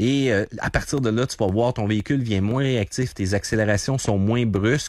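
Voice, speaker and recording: Against a silent background in a very clean recording, a man with a Quebec accent talks at medium pitch and a moderate pace with ordinary pitch variation. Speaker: car columnist. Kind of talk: radio interview.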